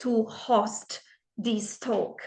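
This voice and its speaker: Her tone bright and sharp, a woman speaks at a fairly high pitch with monotone, flat intonation. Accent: non-native. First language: not English. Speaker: empowerment coach. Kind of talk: casual vlog monologue.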